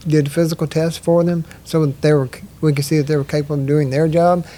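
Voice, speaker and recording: A man's dark, mellow tone at a fairly high pitch, fairly quick pace and monotone, flat intonation. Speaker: stroke survivor and rehab worker. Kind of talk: casual interview. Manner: halting, stuttering.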